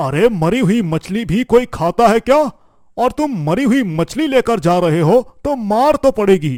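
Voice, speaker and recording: A man's cartoonish character voice, high-pitched and at a moderate pace. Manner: wheedling, falsely kindly.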